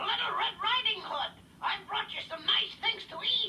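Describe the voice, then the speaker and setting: A put-on character voice, squeaky and extremely high in pitch, at a moderate pace over clear background noise. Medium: read story. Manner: put-on sweetness.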